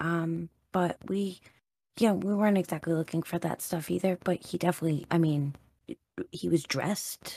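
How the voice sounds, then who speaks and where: A woman speaks at a moderate pace with fairly low pitch and ordinary pitch variation. The sound is dry and close, with no echo. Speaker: tabletop game player. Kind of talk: casual roleplaying chat. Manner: animated, nervous but excited.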